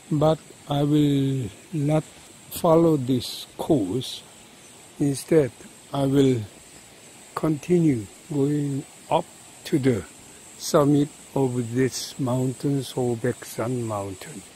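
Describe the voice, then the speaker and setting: The speech comes at a very slow pace with long, frequent pauses and a dry sound with no echo. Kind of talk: casual vlog commentary. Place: forest. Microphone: phone near.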